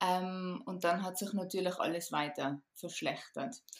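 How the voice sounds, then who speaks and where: A woman with medium pitch and an ordinary speaking voice, at a fairly slow pace. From Austria, Tyrol. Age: 30s. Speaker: podcast guest recovered from chronic fatigue. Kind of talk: casual interview chat.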